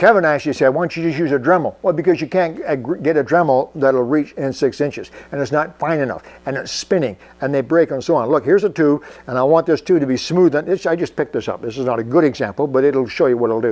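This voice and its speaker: A man speaks at a very fast pace. His pitch is fairly high. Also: ordinary pitch variation. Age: 70s. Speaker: workshop tinkerer video host. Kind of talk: casual product demo. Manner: halting, with filler words.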